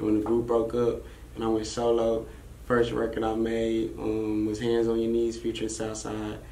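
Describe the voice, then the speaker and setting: Over light background noise and audible room echo, a man talks at a moderate pace and medium pitch in a monotone, flat intonation. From Arlington, Texas (born in Brooklyn); Texas. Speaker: rapper; interview guest. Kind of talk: casual interview. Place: studio.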